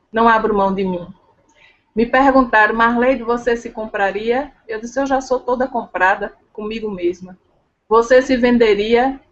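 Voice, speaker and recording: A woman with a strong northeastern Brazilian accent, fairly high-pitched, fairly slow, with fairly even intonation. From Brazil, Pernambuco (Northeast). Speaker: leadership and sales trainer. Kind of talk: interview chat.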